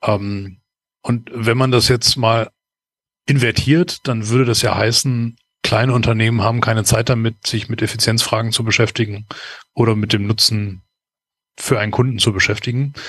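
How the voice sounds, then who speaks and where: A man with a medium-pitched voice talks at a moderate pace, leaving long, frequent pauses. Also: fairly even intonation. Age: 40s. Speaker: process management consultant. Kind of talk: interview. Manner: hesitant, many filler sounds.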